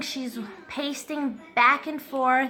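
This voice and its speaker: Music plays behind a woman speaking in a raised, projected voice. Her pitch is high and her pace very slow. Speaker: family vlogger. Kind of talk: casual vlog. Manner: halting.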